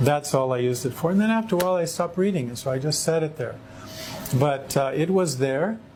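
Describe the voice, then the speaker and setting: With an American accent, a man speaks very fast at a fairly high pitch with ordinary pitch variation, against noticeable background noise. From California, US. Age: 60s. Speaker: convert sharing faith story. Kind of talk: testimony. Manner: halting.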